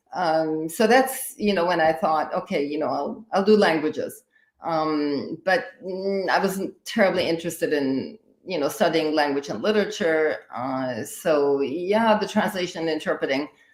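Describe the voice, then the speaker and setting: Someone with a German accent talks at a moderate pace and with lively intonation, in a very clean recording with a silent background. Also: woman, fairly low pitch for a woman. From Austria. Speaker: higher education in emergencies expert. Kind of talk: live interview podcast. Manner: halting, many fillers.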